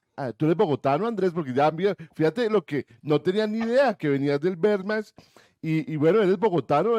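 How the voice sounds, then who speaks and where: In a dark, mellow tone with lively intonation, the speaker goes at a fairly quick pace, the sound dry and close with no echo against a quiet background. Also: man. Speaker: radio host. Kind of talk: interview.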